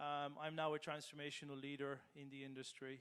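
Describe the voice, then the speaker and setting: A man with an Irish accent, fairly high in pitch, fairly quick, with monotone, flat intonation. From Ireland. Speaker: business transformation leader. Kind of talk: panel discussion.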